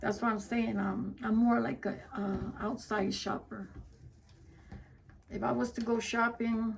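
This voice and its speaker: A woman speaks at a fairly slow pace, with long, frequent pauses. Noticeable background noise runs behind her. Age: 60s. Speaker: wreath maker, crafting vlogger. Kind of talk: casual crafting livestream chat. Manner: conversational, self-talking.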